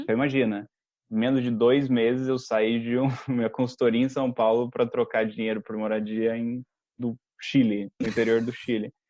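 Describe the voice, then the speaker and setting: The speaker is a man. He talks in a monotone, flat way at a moderate pace. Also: medium pitch for a man. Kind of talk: podcast conversation. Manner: casual, storytelling.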